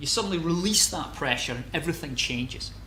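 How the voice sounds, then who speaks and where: A man with a Scottish accent speaks at a fairly quick pace, his pitch swinging very widely. Audible echo from the room surrounds his voice. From Scotland, Glasgow. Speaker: geology lecturer. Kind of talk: lecture. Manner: halting, many repetitions and fillers.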